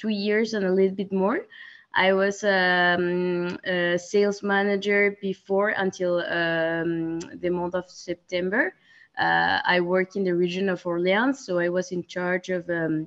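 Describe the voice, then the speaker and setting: With a Spanish accent, a woman speaks at a fairly slow pace in a medium pitch, her intonation fairly even. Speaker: sales manager, alumna. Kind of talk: webinar interview. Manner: halting, many fillers.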